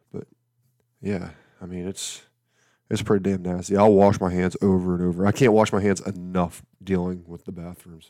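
A man with a Southern US accent speaks in a very deep, low pitch with a dark, mellow tone at a moderate pace. His intonation is flat and monotone, his loudness swings widely, and the recording is very clean with a silent background. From Alabama. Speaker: podcast host and campground manager. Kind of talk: casual solo podcast monologue. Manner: casual, humorous, rambling.

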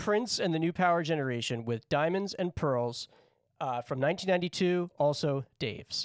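A man at a fairly high pitch and moderate pace, lively intonation, an unremarkable speaking voice, dry and close with no echo on a very clean recording with a silent background. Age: 30s. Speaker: podcast co-host running a music tournament draft. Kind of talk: casual chat. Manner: laughs often.

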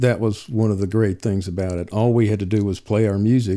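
A man with a North Carolina accent, fairly low in pitch, fairly quick and fairly even in intonation, on a very clean recording with a silent background. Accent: Southern US (North Carolina). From US South, Alamance County, North Carolina. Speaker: old-time fiddler. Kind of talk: interview. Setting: at home. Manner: halting, many fillers.

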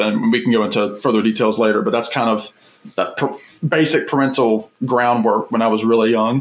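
The speaker has an unremarkable speaking voice and talks at a moderate pace with an American accent. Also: man. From US South, Virginia. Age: 20s. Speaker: YouTuber and record collector. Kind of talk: casual chat.

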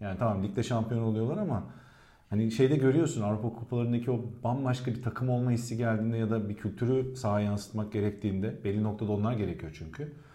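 Speaking at a very fast pace, a man with a dark, mellow, somewhat breathy tone keeps a medium pitch and ordinary pitch variation amid audible room echo. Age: 30s. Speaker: football pundit. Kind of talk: casual chat.

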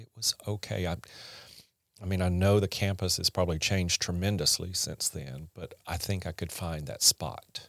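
A man with a Southern US accent, very deep and low in pitch, at a moderate pace, with ordinary pitch variation, big swings in loudness, and a very clean recording over a silent background. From US South, rural Mississippi. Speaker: podcast guest, host's husband. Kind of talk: casual interview, life story. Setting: studio.

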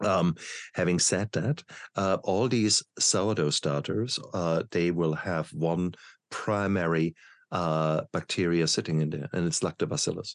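A man with a German accent speaks at a very deep, low pitch. His pace is moderate, and the recording is very clean with a silent background. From Germany. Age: 50s. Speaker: podcast host, doctor. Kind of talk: interview.

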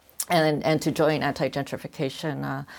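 A woman's very deep, low-pitched voice at a moderate pace. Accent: Californian. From Los Angeles. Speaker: research-based artist. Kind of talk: panel discussion. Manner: halting, many fillers and repetitions.

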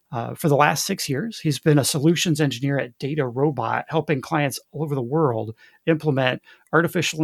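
In a dry, close recording with no echo, a man speaks in a normal speaking voice at a fairly high pitch, with ordinary pitch variation and a fairly quick pace. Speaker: podcast host. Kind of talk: call-in podcast conversation.

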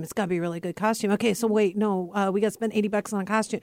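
A woman with an ordinary speaking voice talks at a fairly high pitch with ordinary pitch variation. The recording is very clean, with a silent background. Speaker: radio host. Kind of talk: radio dj patter: bubbly, chatty Halloween banter between segments. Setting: studio. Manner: bubbly, laughing and quick to cheer on guests, upbeat and warm.

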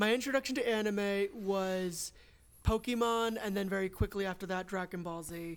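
An unremarkable speaking voice, with ordinary pitch variation and a moderate pace. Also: woman, medium pitch for a woman. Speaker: podcast host. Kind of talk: casual chat.

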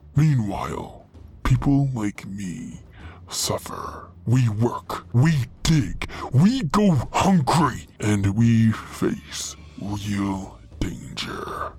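The pace is very slow. A put-on character voice is used throughout. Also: man, medium pitch for a man. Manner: angry, defiant, commanding.

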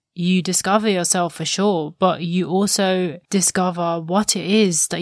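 In a very clean recording with a silent background, a woman talks in an ordinary speaking voice. Her medium pitch shows ordinary variation. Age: 20s. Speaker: podcast host. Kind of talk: solo reflective monologue.

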